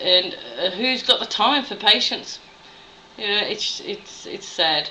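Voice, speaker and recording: A woman with an Australian accent, medium pitch, ordinary pitch variation and a fairly slow pace, over noticeable background noise. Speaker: nurse. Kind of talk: video blog monologue.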